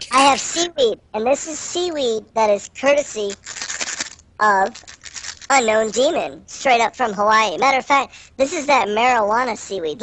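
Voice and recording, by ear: A female-sounding, squeaky, put-on character voice speaks at a moderate pace with a fairly high pitch.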